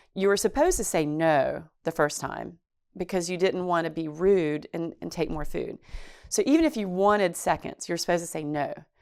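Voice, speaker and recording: A North Carolina accent at a fairly quick pace with ordinary pitch variation, on a very clean recording with a silent background. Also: woman. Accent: North Carolina Southern. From Chatham County, North Carolina. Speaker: oral history interviewee. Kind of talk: interview.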